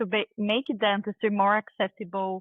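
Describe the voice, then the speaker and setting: A woman with a Brazilian accent speaks at medium pitch and a fairly slow pace. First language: Portuguese. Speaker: dentist and tech founder. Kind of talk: interview.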